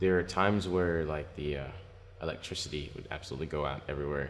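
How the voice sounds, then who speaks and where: A man speaks with a very deep, low pitch and fairly even intonation. Room echo is audible. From DR Congo (Kinshasa), then Plano, Texas. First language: French. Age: 20s. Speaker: singer-songwriter. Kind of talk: interview testimony. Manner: hesitant, many fillers.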